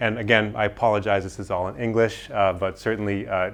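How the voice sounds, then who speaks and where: A man speaks with an American accent at a fairly low pitch. His intonation is monotone and flat. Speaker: forest scientist. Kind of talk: lecture. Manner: fast.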